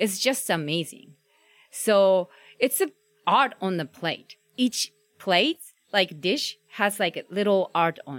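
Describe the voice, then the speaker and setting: Very slow delivery with lively intonation and long, frequent pauses, in a dry, close sound with no echo. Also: woman, medium pitch for a woman. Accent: Japanese. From Japan. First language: Japanese. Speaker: food blogger and photographer. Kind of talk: casual interview. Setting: outdoors.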